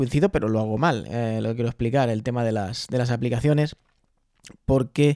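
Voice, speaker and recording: Dark and mellow in tone, a man talks at medium pitch with ordinary pitch variation. His pace is fairly quick, and the sound is dry and close with no echo. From Spain, Albacete. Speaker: podcaster. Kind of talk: casual chat. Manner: fast.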